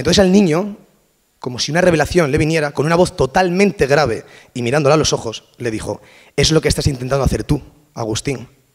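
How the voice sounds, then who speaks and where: Speaking very fast, a man keeps ordinary pitch variation. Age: 20s. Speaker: language and communication researcher. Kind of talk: conference talk. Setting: stage with audience. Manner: casual.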